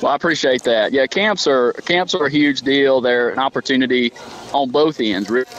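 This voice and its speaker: Through noticeable background noise, a man with a Deep South accent keeps his loudness very even, the sound dry and close with no echo. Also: ordinary pitch variation, moderate pace. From southern Alabama. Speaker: college softball coach. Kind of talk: casual radio interview.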